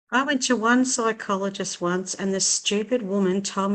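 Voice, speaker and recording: Speaking at a moderate pace with an Australian accent, a woman keeps a medium pitch and fairly even intonation. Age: 60s. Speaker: writer. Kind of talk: casual chat.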